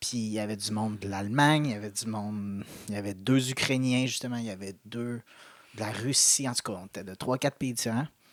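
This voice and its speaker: His delivery is neither hurried nor slow. This male voice sits at a medium pitch and rises and falls in an ordinary way. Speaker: podcast co-host. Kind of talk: casual chat. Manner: animated.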